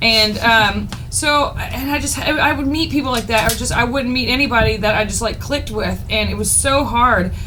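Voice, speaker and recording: A woman speaks in an animated tone at a moderate pace with hardly any pauses, amid audible room echo and noticeable background noise. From Texas. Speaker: podcast co-host. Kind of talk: casual chat.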